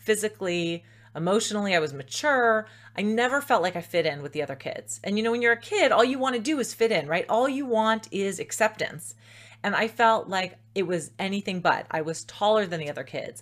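A woman's animated tone, with lively intonation, at a fairly quick pace. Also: medium pitch for a woman. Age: 40s. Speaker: self-love coach. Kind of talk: interview. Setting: remote call.

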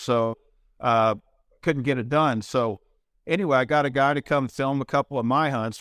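A man with an unremarkable speaking voice and an American accent talks at a medium pitch and moderate pace with fairly even intonation. The recording is very clean with a silent background, dry and close with no echo. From Kansas. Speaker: TV hunting show host and country singer. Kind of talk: interview.

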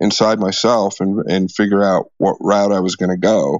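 This man has an ordinary speaking voice, fairly low in pitch, with an American accent. He talks at a fairly slow pace with fairly even intonation. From US Midwest, Des Moines, Iowa. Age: 40s. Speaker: pool player and gambler. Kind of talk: storytelling interview.

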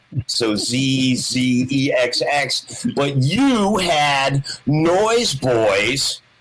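Noticeable background noise accompanies a man speaking very slowly with lively intonation and very even loudness. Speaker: guitarist. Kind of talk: casual chat. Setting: video call.

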